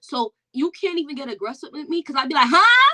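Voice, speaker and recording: A woman's raised, projected voice at a moderate pace, dry and close with no echo. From Jamaica. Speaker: perfume content creator. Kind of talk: casual chat. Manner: loud.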